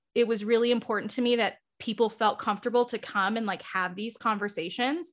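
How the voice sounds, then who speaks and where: In a very clean recording with a silent background, a woman talks in an ordinary speaking voice, her pitch fairly high and her intonation fairly even. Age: 20s. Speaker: book club organizer and content creator. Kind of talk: casual interview chat.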